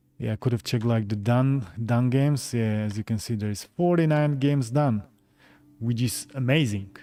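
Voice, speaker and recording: With music playing in the background, a man speaks at a moderate pace in a Slovak accent, his medium-pitched voice showing ordinary pitch variation. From Slovakia, Bratislava. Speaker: gaming YouTuber. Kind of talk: live stream chat. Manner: halting, many fillers.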